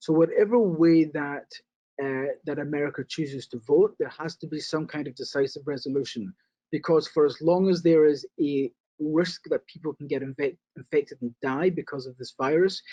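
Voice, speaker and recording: A man speaks with a British accent and a dark, mellow tone. His loudness swings widely, and the sound is dry and close with no echo. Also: fairly high pitch for a man, ordinary pitch variation, moderate pace. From Britain. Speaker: casino real estate investor. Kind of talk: interview.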